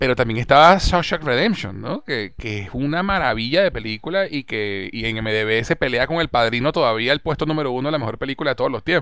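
A man at a medium pitch speaks with lively intonation and a bright, sharp tone. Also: fairly quick pace. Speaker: podcast host. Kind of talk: casual chat.

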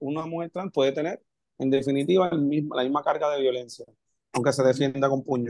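A man with a plain, everyday voice speaks at a fairly quick pace, his fairly high pitch held in fairly even intonation, the sound dry and close with no echo. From Puerto Rico, Camuy. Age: 30s. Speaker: history teacher. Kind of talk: casual discussion.

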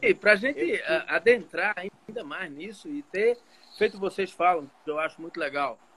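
With lively intonation, a man's voice comes through in a bright, sharp tone. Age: 50s. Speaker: physician and triathlete. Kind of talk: casual chat.

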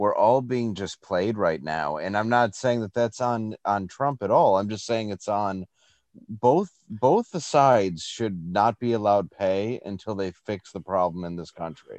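A man's plain, everyday voice, fairly low in pitch with ordinary pitch variation, at a fairly slow pace, dry and close with no echo, over a quiet background. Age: 30s. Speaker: comedian. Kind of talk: casual chat.

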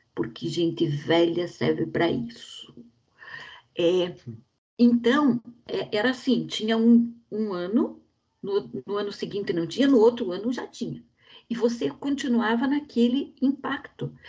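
A woman with a fairly high pitch and vocal fry talks at a fairly slow pace in a dark, mellow tone, her intonation lively and her speech broken by long, frequent pauses. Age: 60s. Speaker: bank employee, film club member. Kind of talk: casual chat.

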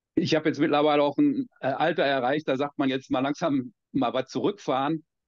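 A man with a normal speaking voice talks at a moderate pace and a fairly high pitch. His loudness stays very even, with ordinary pitch variation. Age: 50s. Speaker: American football coach. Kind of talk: casual chat.

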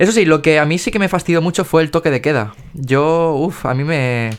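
The man's voice sits fairly high and varies in pitch in an ordinary way as he talks fairly quickly. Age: 20s. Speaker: podcast host and dance teacher. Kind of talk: casual interview. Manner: hesitant, many fillers.

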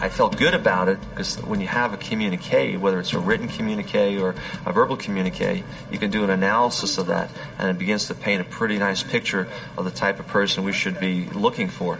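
Over noticeable background noise, a man with fairly low pitch talks at a very fast pace with ordinary pitch variation. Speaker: FBI profiler or lab official. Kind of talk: interview recounting. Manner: hesitant, repeats words.

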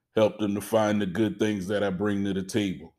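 In a very clean recording with a silent background, a man with a normal speaking voice and fairly low pitch talks at a moderate pace. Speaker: father praying. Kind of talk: fervent prayer, spoken aloud to God as a humble, heartfelt plea. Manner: earnest, pleading, tender.

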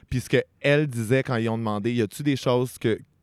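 At a fairly quick pace, a man talks with ordinary pitch variation in a very clean recording with a silent background and a dry, close sound with no echo. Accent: Quebec. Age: 20s. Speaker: podcast host. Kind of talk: casual chat.

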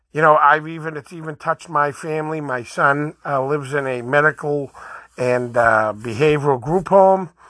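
Against a quiet background, someone with a Boston accent speaks at a moderate pace. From Boston, Massachusetts. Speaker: podcast host. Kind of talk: opinion monologue.

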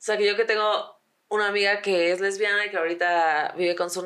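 Here a woman speaks in a Mexican accent at a fairly quick pace. Her intonation is fairly even. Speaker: podcast co-host. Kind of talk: casual chat.

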